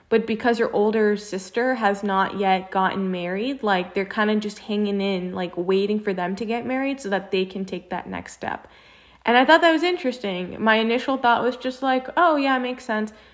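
An unremarkable speaking voice comes at a moderate pace. Its pitch varies in an ordinary way. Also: woman, fairly high pitch for a woman. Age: 20s. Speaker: podcast co-host. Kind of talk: casual chat.

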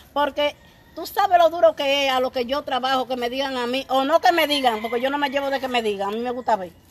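A woman with a high pitch talks at a very fast pace with ordinary pitch variation amid noticeable background noise. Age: 50s. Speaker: radio show guest, married woman. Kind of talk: casual chat. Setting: outdoors on the street.

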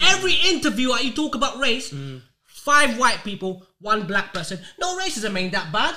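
A man speaks in a raised, projected voice with a London accent, his pitch extremely high and swinging very widely. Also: fairly quick pace. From North London. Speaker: podcast host. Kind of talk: casual chat.

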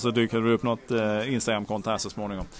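Speech races at a very fast pace over noticeable background noise. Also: man. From Malmö, southern Sweden. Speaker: podcast co-host. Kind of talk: casual chat. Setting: bar on a busy street.

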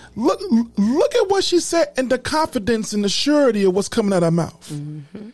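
An extremely high-pitched man's voice with very wide pitch swings. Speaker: podcast host. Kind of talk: podcast recap with commentary; rally-style preaching, call-and-response. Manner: animated, emphatic, crowd-rousing, repeating lines with force; informal, conversational.

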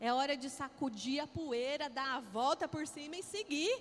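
A woman with a high pitch speaks in an animated tone at a fairly slow pace. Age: 40s. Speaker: pastor. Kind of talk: sermon.

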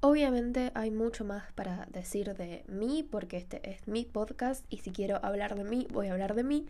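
This woman has a fairly high pitch and a dark, mellow tone, speaking at a moderate pace. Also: ordinary pitch variation. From Argentina, Rosario. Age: 20s. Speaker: podcast host and illustrator. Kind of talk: casual solo podcast monologue.

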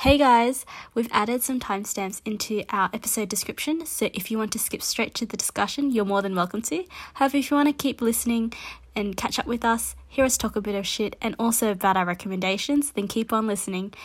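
With an Australian accent, a woman talks at a very fast pace in a fairly high, somewhat breathy voice with ordinary pitch variation. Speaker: podcast co-host. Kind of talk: casual chat.

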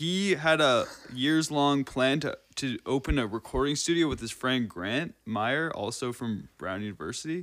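A man speaks in a normal speaking voice at a fairly high pitch and moderate pace, with lively intonation. The recording is very clean, with a silent background. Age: 20s. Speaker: drummer and tutor. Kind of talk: casual chat.

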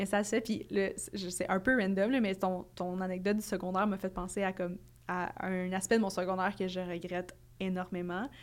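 Against a silent background in a very clean recording, a woman speaks at a moderate pace and medium pitch with monotone, flat intonation. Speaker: podcast co-host. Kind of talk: casual chat.

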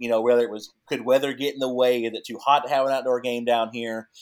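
Talking at a very fast pace, a man uses a medium pitch and fairly even intonation. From Texas (moved from Canada as teen). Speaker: athletic trainer for a pro hockey team. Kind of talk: casual podcast interview.

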